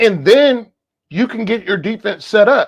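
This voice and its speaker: Speaking fairly slowly, the voice carries an American accent. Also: very clean recording, silent background. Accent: Southern US, comes out at times. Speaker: podcast guest. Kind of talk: casual chat. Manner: animated.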